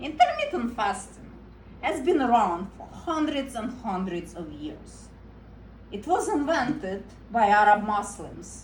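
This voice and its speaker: A woman with a non-native accent speaks at a fairly slow pace and fairly high pitch, her voice moving in very wide pitch swings amid audible room echo. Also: big swings in loudness. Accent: foreign. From Eastern Europe. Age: 30s. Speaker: comedian. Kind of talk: stand-up.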